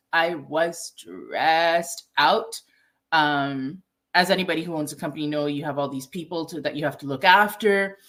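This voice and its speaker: A woman speaks fairly slowly with a Toronto accent, her pitch very deep and low with ordinary variation. The recording is very clean, with a silent background. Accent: Canadian English, Toronto. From Toronto, Canada. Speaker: ayurvedic nutritionist and chef. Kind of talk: interview. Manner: conversational, many fillers.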